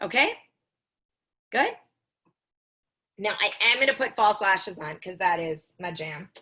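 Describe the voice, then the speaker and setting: Speaking at a moderate pace, a woman with a medium pitch and a bright, sharp tone shows big swings in loudness and long, frequent pauses. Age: 40s. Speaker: makeup tutorial instructor. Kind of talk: tutorial. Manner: casual, conversational.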